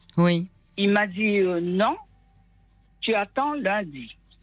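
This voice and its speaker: Very slow speech from a woman at medium pitch, music in the background. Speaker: caller. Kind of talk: casual chat. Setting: phone call.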